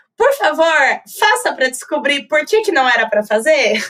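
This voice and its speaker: The voice is raised and projected, with very wide pitch swings. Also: woman. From Brazil, Campinas (São Paulo state). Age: 20s. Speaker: advertising professional. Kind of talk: podcast interview. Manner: talkative.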